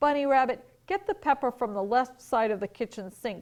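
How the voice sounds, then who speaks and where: In a put-on character voice, a woman growls at a high pitch and a moderate pace, her intonation lively. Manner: growling.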